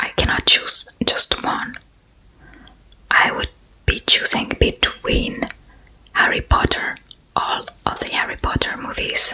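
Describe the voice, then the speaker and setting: A woman whispers at a very slow pace with long, frequent pauses. Noticeable background noise is present. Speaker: ASMR creator. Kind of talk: ASMR Q&A talking to camera. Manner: whispered, soft-spoken.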